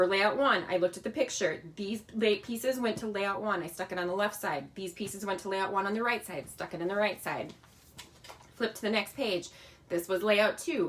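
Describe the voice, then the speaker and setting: Noticeable background noise sits behind a woman who talks at a fairly quick pace and a medium pitch, with ordinary pitch variation. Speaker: crafting product demonstrator. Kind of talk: live-stream tutorial. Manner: fast; casual, chatty.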